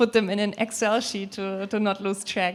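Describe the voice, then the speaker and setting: Speaking with a German accent, a woman talks at a moderate pace and medium pitch. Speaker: people/HR leader on a panel. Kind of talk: panel discussion.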